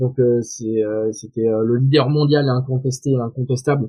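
A man at medium pitch, with fairly even intonation and a fairly slow pace. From southwest France. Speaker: tech startup founder and CEO. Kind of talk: interview. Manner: halting, many fillers and repetitions.

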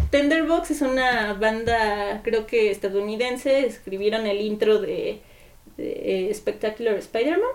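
A woman speaks in an ordinary speaking voice, fairly high in pitch, with ordinary pitch variation. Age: 20s. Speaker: architecture student and keyboardist. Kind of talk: casual chat.

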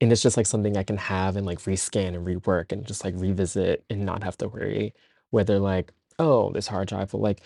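Over a quiet background, an ordinary speaking voice with an American accent and fairly even intonation comes across dry and close, with no echo. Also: man. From Central New Jersey (Trenton). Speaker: documentary photographer. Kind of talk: casual interview.

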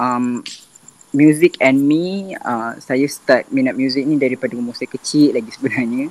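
This man has a plain, everyday voice at a fairly high pitch. He speaks at a fairly slow pace with ordinary pitch variation. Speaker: singer and applied chemistry student. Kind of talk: casual podcast interview.

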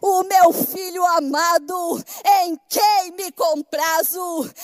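Over noticeable background noise, a woman speaks at an extremely high pitch with ordinary pitch variation. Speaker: pastor. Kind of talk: sermon. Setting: church.

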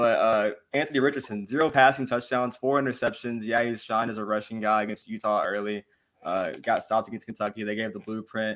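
On a very clean recording with a silent background, a man with a medium pitch speaks at a fairly quick pace. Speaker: podcast co-host. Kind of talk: casual sports banter. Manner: animated, profane.

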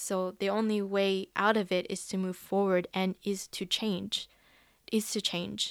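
In a very clean recording with a silent background, a woman speaks at a very slow pace, medium pitch and with monotone, flat intonation. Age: 20s. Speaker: life coach, podcaster. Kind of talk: solo podcast monologue. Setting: recording alone.

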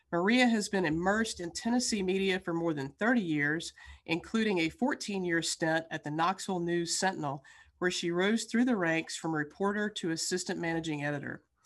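Over a quiet background, a woman speaks at a moderate pace. Her pitch is fairly low, with ordinary variation. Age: 60s. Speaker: podcast co-host. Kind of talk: interview. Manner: animated.

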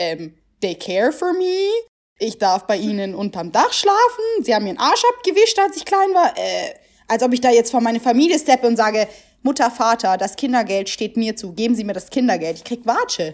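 A woman speaks at a fairly high pitch with very wide swings. Her pace is fairly quick. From Germany, Italian family from Naples. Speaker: podcast co-host. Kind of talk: casual chat.

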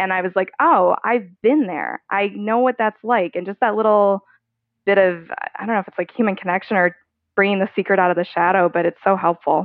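At a fairly quick pace, a woman speaks with a medium pitch, ordinary pitch variation and an unremarkable speaking voice. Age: 30s. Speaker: person living with type 1 diabetes. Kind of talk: casual interview.

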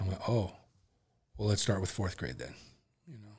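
Somewhat breathy, a man speaks at a fairly quick pace in a fairly low pitch with fairly even intonation. The recording is very clean, with a silent background. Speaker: musician. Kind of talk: casual chat. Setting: podcast studio.

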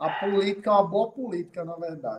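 The speaker has a Rio Grande do Norte accent. Pitch variation is ordinary. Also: man. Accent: northeastern Brazilian Portuguese (potiguar). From Rio Grande do Norte, Brazil. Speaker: city councillor. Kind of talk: casual interview.

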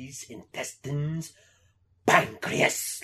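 A man's put-on character voice, pitched fairly high. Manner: menacing.

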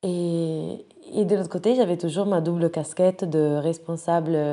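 Against a quiet background, a woman speaks with a dark, mellow tone. Her pace is fairly slow and her intonation fairly even. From Italy (Rome). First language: Italian (speaking French). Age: 20s. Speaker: nonprofit director. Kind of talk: personal profile monologue. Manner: hesitant, many fillers.

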